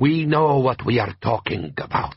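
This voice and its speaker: A man uses a put-on character voice with a growl. His pitch is medium and his pace moderate. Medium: read story. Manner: blunt, proud.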